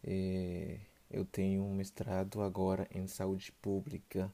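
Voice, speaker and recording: A man's fairly low, dark, mellow voice with a Haitian accent, in a very clean recording with a silent background. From Haiti, Port-au-Prince. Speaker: travel podcast guest. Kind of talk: casual interview.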